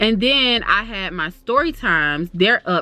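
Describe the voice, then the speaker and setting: With a Florida accent, a woman talks at a medium pitch over noticeable background noise. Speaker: YouTuber. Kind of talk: casual chat. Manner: fast; animated.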